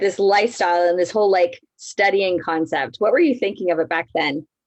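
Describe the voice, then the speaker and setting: Using an ordinary speaking voice, a woman speaks at a medium pitch with ordinary pitch variation. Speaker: network marketing coach hosting a live. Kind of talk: casual live-stream interview.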